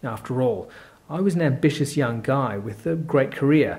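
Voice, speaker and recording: A man speaks in an Australian accent with ordinary pitch variation. His voice is somewhat breathy. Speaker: course presenter. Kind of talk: sales pitch.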